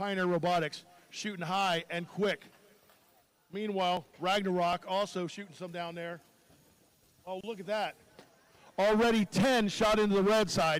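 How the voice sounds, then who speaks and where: A loud man with a high pitch speaks at a moderate pace, leaving long, frequent pauses. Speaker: robotics match announcer. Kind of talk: live commentary. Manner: animated.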